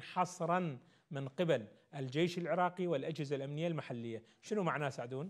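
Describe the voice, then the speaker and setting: Male speech at a moderate pace, ordinary pitch variation, and a quiet background. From Iraq. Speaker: politician. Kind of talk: political interview. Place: studio. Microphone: lapel.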